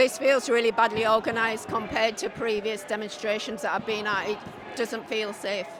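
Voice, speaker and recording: Against noticeable background noise, the speaker talks fairly quickly with a Yorkshire accent and fairly even intonation. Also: woman, fairly high pitch for a woman. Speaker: counter-protester. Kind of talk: street interview. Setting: outdoors at a street protest.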